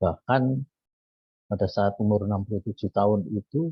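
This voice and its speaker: A man talks fairly slowly at a fairly low pitch. His voice is somewhat breathy, with ordinary pitch variation. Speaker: Bible study participant. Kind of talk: testimony.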